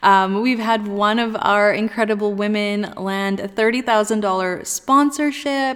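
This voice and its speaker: Talking at a very slow pace with hardly any pauses, a woman keeps a fairly even intonation at a fairly high pitch. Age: 30s. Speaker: podcast host and girls' empowerment entrepreneur. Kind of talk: casual solo podcast talk.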